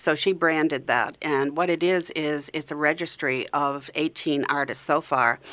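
With a New England accent, this voice has a bright, sharp tone and fairly even intonation, moving at a fairly slow pace with hardly any pauses on a very clean recording with a silent background. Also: woman, very deep, low pitch for a woman. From Maine, US. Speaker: arts organization founder and sculptor. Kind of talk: casual radio interview.

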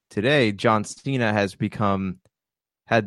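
In a normal speaking voice, a man talks fairly slowly at a fairly low pitch, the sound dry and close with no echo against a quiet background. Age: 30s. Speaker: podcast co-host. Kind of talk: casual chat.

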